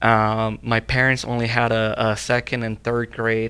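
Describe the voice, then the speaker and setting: On a very clean recording with a silent background, a man with a Spanish accent speaks at a moderate pace in a bright, sharp tone with monotone, flat intonation. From Mexico, Zacatecas. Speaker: young professional guest. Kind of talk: panel interview. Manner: halting, many fillers and repeats.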